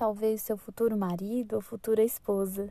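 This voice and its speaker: The woman's voice comes through with a dry, close sound and no echo. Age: 20s. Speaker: podcast host, civil engineer. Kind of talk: reflective solo podcast monologue.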